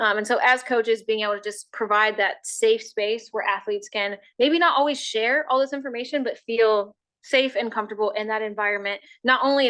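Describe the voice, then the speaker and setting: Loud and fairly quick, a woman speaks at a fairly high pitch with a bright, sharp tone. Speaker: sports health educator. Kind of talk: educational talk.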